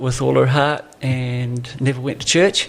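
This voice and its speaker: With a southern New Zealand accent, a man speaks at a medium pitch with fairly even intonation. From New Zealand, Southland. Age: 60s. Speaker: pastor. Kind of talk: podcast interview.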